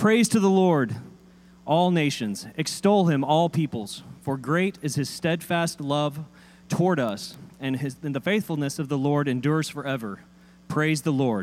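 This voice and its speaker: A man with a normal speaking voice talks fairly high in pitch. His pace is fairly slow and his intonation lively. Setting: church.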